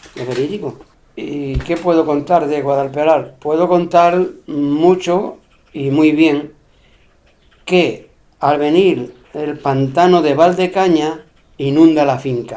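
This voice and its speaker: At a very slow pace with long, frequent pauses, a man speaks in a dark, mellow tone at a fairly high pitch, his intonation fairly even. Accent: Extremaduran. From Spain, Extremadura (Cáceres). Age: 70s. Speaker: elderly local interviewee recalling rural life. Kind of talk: oral history interview.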